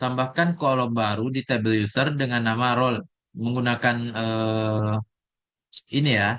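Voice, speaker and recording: At a fairly slow pace, a man of medium pitch talks in a bright, sharp tone with very even loudness and fairly even intonation. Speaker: programming tutor. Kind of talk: screen-recorded coding tutorial. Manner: halting with fillers; soft-spoken.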